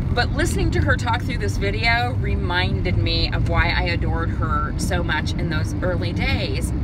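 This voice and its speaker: A woman with hardly any pauses, dry sound with no echo, and loud background noise. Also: moderate pace. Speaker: vlogger. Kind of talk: casual vlog monologue. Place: car. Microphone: phone near.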